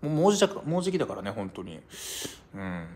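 Very fast and with very wide pitch swings, a man talks at a fairly high pitch. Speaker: live streamer. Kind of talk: casual chat. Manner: casual, chatty, laughs often. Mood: relaxed, cheerful. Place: home room. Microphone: phone near.

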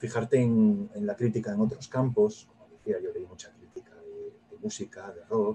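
A man talks at fairly low pitch with very wide pitch swings at a moderate pace. His tone is dark and mellow, with a husky, rough edge.

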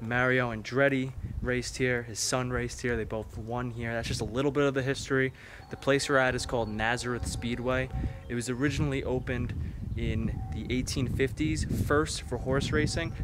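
Noticeable background noise sits under a man's voice. The sound is dry with no echo, and his intonation is fairly even. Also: moderate pace. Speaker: exploration vlogger. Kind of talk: casual vlog chat. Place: open country. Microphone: phone near.

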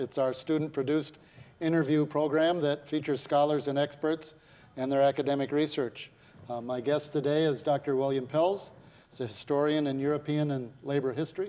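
A man speaks at a fairly quick pace in a dark, mellow tone. His intonation stays monotone and flat. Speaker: TV interview host. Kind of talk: interview introduction. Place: studio. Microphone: lapel.

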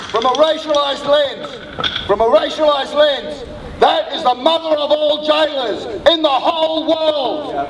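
An extremely high-pitched male voice, angry and warm in tone, with fairly even intonation, a moderate pace and noticeable background noise. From Australia. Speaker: suicide prevention worker and activist. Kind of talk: rally speech, impassioned public oration. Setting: outdoors rally with crowd. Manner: forceful, emphatic, declamatory, with repeated phrases and punchy rhythm; fiery, urgent, angry at injustice yet warm in closing. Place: street.

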